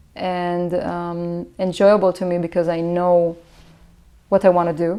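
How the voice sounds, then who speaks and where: A woman speaks with an Israeli accent at a fairly slow pace and a medium pitch. The recording is very clean, with a silent background. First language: Hebrew. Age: 20s. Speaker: musician. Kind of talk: interview. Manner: halting, many fillers.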